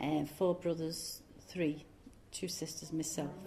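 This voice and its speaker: Speaking at a very slow pace, a woman has a dark, mellow tone touched with vocal fry. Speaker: oral history interviewee, former factory worker. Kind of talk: oral history interview. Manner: casual, hesitant with fillers.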